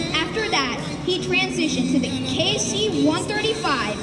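Clear music plays in the background. A woman is speaking over it. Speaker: airshow announcer. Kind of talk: commentary. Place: open country. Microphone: pa.

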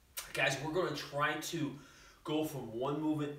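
A man's moderately paced speech carries a noticeable echo from the room. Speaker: fitness trainer. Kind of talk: workout tutorial. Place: gym. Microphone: camera far.

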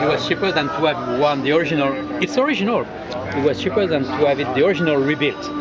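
Someone talks at a very fast pace with a French accent. Loud background noise fills the recording. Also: man. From France. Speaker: clock repair business owner. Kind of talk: interview answer. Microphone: phone near.

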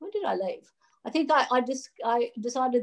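A woman with an Australian accent, at a fairly quick pace, against a quiet background. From Australia, rural New South Wales. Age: 50s. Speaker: digital asset regulation advisor, former derivatives trader. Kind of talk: interview. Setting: video call from a hotel room. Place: home room. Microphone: video call.

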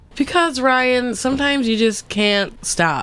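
The recording is dry and has no echo. The speaker is a woman. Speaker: podcast co-host. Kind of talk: casual chat. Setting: studio. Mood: playful, joking, anecdotal. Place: studio. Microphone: headset.

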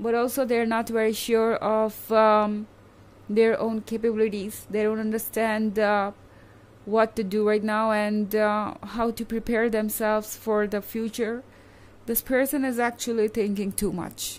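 A woman speaks in a monotone with flat intonation. Her pace is fairly slow. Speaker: tarot reader. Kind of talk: tarot reading commentary. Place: home room. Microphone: phone near.

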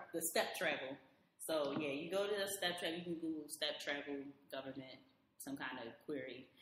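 In an American accent, a woman speaks at a moderate pace with a very deep, low pitch. Her pitch varies in an ordinary way, and there is audible room echo. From Baltimore, Maryland. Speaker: IT support worker and traveler. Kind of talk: casual chat.

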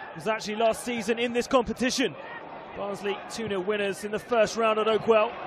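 Background noise is noticeable as a man speaks at a moderate pace. His pitch is high and his intonation fairly even. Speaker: football match commentator. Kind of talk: live sports commentary on a football match, highlights voiceover.

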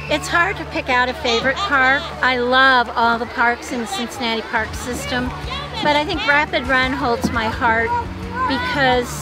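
A woman speaks at a moderate pace. Music is clear in the background, and the sound is dry with no echo. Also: ordinary pitch variation. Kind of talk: interview answer. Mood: warm, fond reminiscing. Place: waterside.

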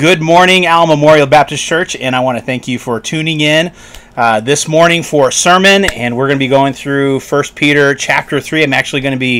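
Pitch moves in an ordinary way. The man talks at a fairly quick pace. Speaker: pastor preaching online. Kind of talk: sermon. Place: home room. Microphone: studio mic.

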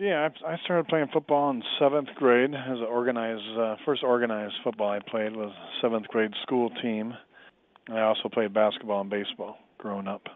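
A man's plain, everyday voice, medium in pitch, with ordinary pitch variation and a moderate pace. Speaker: former pro football player. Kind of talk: interview.

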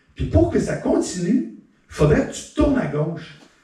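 A man speaks with a dark, mellow tone and very wide pitch swings. Audible room echo surrounds his voice. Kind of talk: stand-up comedy monologue. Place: stage.

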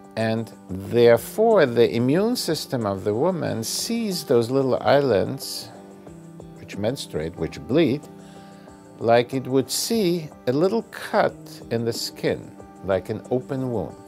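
A man speaking at a very slow pace, with faint music in the background. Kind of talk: interview answer. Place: office.

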